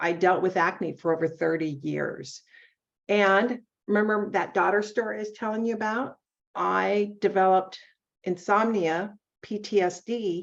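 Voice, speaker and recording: A woman's normal speaking voice, medium in pitch, at a fairly slow pace with fairly even intonation. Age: 60s. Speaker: beauty products consultant. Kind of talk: casual interview.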